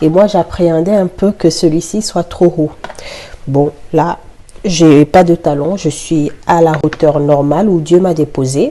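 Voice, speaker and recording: Over noticeable background noise, a woman speaks very slowly in a fairly low pitch. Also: fairly even intonation. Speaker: vlogger. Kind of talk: casual vlog chat while cooking. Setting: home kitchen. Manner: articulating more carefully.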